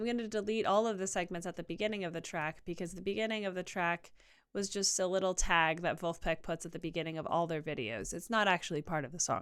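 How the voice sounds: A woman talks at a fairly quick pace with ordinary pitch variation. Her tone is clear and smooth.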